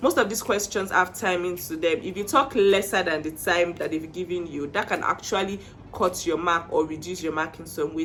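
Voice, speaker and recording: Speaking at a fairly quick pace over noticeable background noise, a woman with a Nigerian accent and a medium pitch has an animated tone. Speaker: IELTS tips vlogger. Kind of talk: casual tutorial.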